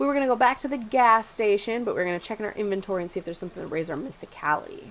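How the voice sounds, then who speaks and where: A woman speaks with ordinary pitch variation amid light background noise. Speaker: let's play gamer. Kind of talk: casual let's play commentary with reading of game text. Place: home room. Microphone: headset.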